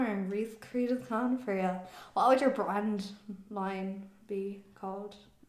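With a Cork accent, a woman speaks at a fairly high pitch and a fairly slow pace. Room echo is audible. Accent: Cork Irish. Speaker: podcast co-host. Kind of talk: casual chat. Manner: animated.

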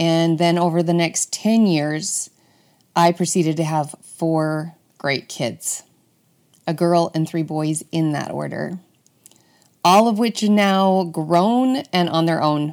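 The recording is very clean with a silent background. A speaker with a Utah accent goes at a very slow pace, leaving long, frequent pauses. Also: woman, fairly low pitch for a woman, ordinary pitch variation. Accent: American (Utah). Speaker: podcast host, former nurse. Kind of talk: solo monologue.

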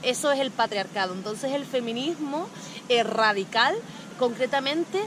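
Lively intonation at a fairly slow pace, over noticeable background noise. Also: woman. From Canary Islands, Spain. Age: 30s. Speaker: touring cyclist and feminist blogger. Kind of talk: interview.

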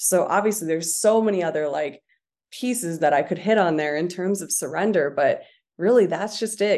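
A plain, everyday voice with ordinary pitch variation. The background is quiet. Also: woman. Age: 20s. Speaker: confidence and manifestation coach. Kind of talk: guided visualization with spoken affirmations, led eyes-closed; casual interview chat. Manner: slow, calm, soothing, first-person affirmations; casual, chatty, many 'like' fillers.

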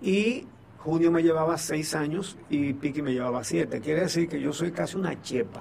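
Noticeable background noise sits behind a man with a fairly high pitch who talks at a moderate pace with ordinary pitch variation. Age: 70s. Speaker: journalist. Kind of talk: radio interview.

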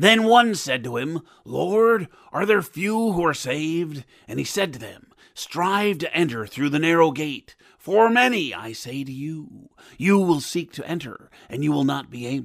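A man talks at a moderate pace with a fairly high pitch. His voice moves in very wide pitch swings. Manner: calm, sermonizing, menacing.

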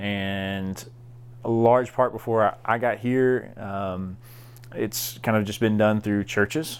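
Speaking very slowly, a man uses a fairly low voice and a Southern US accent. His intonation stays fairly even, and the recording is very clean, with a silent background. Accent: Southern American. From US South, southeast Arkansas. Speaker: college ministry director. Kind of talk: casual chat.

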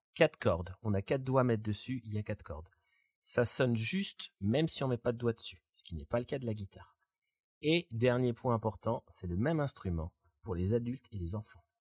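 A man at medium pitch, fairly quick and somewhat breathy, with lively intonation and a dry, close sound with no echo on a very clean recording with a silent background. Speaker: music teacher and musician. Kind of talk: casual chat.

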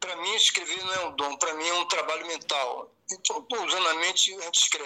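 Very fast and high-pitched, a man talks with fairly even intonation. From Brazil, Ceará. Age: 80s+. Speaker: blind writer, accountant. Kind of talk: interview.

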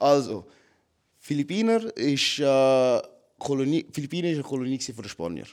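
A man with a fairly high voice leaves long, frequent pauses while his pitch swings very widely. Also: moderate pace. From Switzerland, Zurich. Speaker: MMA fighter. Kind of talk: casual chat.

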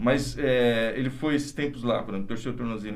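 Room echo is audible around a man's voice. He speaks at a fairly quick pace. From interior of São Paulo state, Brazil. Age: 50s. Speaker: doctor. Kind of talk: interview conversation.

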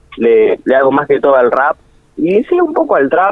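A man speaks against noticeable background noise. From Argentina, El Chaltén (Santa Cruz, Patagonia). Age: 20s. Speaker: freestyle rapper. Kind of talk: radio interview.

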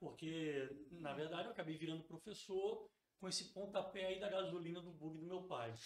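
A high-pitched man at a moderate pace. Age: 40s. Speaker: teacher and school founder. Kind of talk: casual interview.

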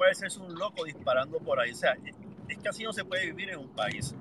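Amid noticeable background noise, a high-pitched man talks very fast in a raised, projected voice with ordinary pitch variation. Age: 50s. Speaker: listener joining live audio room. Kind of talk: casual chat. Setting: live audio room on social media.

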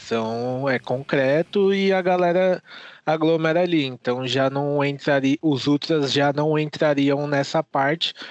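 In a plain, everyday voice, a man speaks fairly slowly at a fairly high pitch, with ordinary pitch variation and very even loudness, in a dry, close sound with no echo. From Brazil. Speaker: fan site editor. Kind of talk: casual chat. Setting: virtual recording session.

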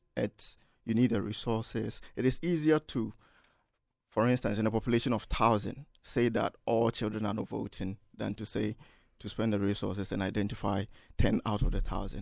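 A man speaks with vocal fry at a fairly low pitch. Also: ordinary pitch variation, moderate pace. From Ghana, Kumasi. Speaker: student panelist. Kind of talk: panel discussion.

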